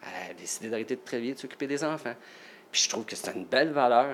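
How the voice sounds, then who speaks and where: A man speaks very fast. The intonation is lively throughout. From Quebec, Salaberry-de-Valleyfield. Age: 50s. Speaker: nurse and part-time firefighter. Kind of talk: casual interview.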